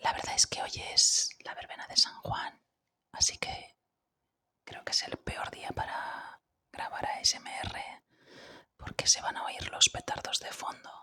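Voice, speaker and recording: The speaker whispers very slowly, pausing often and at length. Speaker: ASMR creator. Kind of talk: casual talk to camera. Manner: whispered.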